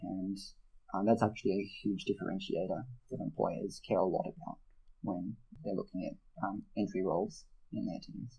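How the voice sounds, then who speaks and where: A mumbling man with an Australian accent, with long, frequent pauses. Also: moderate pace. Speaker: mentoring program manager and debating coach. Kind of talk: interview. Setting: podcast. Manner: slight mumble.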